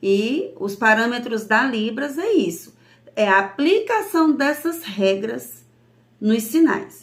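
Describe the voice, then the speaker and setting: Speaking at a very slow pace, a woman has a fairly high pitch. Her intonation is lively. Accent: northeastern Brazilian. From Brazil, Northeast. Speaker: sign language teacher. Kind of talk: lesson.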